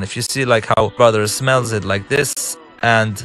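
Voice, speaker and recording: Music plays in the background as a man with an Arabic accent talks at a moderate pace with ordinary pitch variation. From Lebanon. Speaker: game director and filmmaker. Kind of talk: commentary over gameplay walkthrough. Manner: halting, with false starts.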